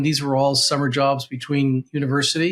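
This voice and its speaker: A man is talking. He keeps a moderate pace. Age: 60s. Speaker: financial advisor. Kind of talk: tutorial. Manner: halting.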